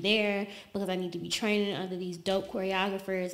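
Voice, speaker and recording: Fairly quick delivery from a woman at a medium pitch. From US South (Alabama). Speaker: model and dancer. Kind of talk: casual interview.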